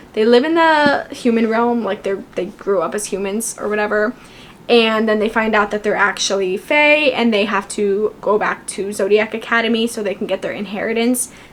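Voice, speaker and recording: Over noticeable background noise, a woman speaks in an animated tone. Her pitch is fairly high. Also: ordinary pitch variation. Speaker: booktuber. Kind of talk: casual book review talk. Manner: fast.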